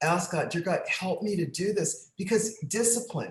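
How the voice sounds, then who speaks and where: Her intonation is lively and her pitch sits in the medium range. The woman's voice is somewhat breathy. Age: 60s. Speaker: bodybuilder and author. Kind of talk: interview conversation.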